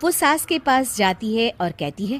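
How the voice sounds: A woman speaks at a fairly slow pace, her fairly high voice carrying lively intonation.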